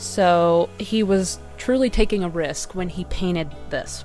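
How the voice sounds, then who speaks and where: A woman speaks with music in the background. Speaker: artist. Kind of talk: casual commentary video on art history.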